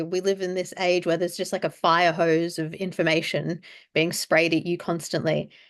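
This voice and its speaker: A woman with an unremarkable speaking voice talks at a moderate pace, her pitch fairly low for a woman. Her intonation stays fairly even, and the background is quiet. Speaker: podcast host. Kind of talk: interview question.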